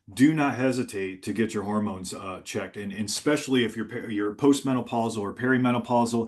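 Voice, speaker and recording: At a very fast pace, a man talks in a medium pitch. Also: ordinary pitch variation. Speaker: physician. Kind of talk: webinar presentation.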